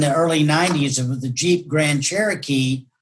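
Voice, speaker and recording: A somewhat breathy voice at a moderate pace, with fairly even intonation. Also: man. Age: 60s. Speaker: realtor and folk singer-songwriter. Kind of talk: interview reminiscence. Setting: video call. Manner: halting, many restarts and fillers.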